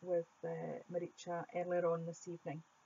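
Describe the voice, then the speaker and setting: A woman with a Scottish accent speaks at a fairly low pitch. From Scotland. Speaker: art YouTuber. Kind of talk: voiceover Q&A.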